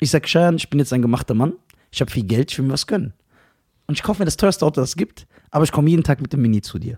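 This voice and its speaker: A man at a very fast pace, somewhat breathy, with long, frequent pauses and a dry, close sound with no echo. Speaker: podcast host. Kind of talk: casual banter, comedic roasting chat.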